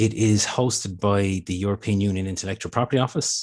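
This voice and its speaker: The speaker has an Irish accent and fairly even intonation against a quiet background. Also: man. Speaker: intellectual property office presenter. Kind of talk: webinar presentation. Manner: fast.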